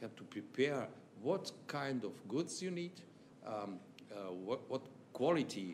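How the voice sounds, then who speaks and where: In a Serbian accent, a man speaks at a fairly slow pace with very wide pitch swings. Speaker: chamber of commerce official. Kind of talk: formal speech. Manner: halting.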